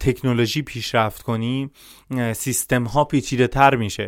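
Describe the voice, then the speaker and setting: Speaking at a medium pitch, a man keeps a fairly slow pace and fairly even intonation. The recording is very clean, with a silent background. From Iran, Shushtar, Khuzestan. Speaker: social activist and cybersecurity specialist. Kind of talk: podcast interview.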